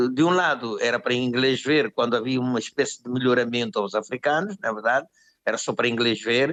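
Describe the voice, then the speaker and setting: Ordinary pitch movement in a man's voice of medium pitch. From Angola. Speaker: musician. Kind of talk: interview answer.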